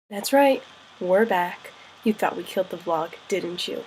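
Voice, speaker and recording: A woman with an American accent talks at a medium pitch and a fairly quick pace. Noticeable background noise runs underneath. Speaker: study-abroad student. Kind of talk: casual vlog to camera.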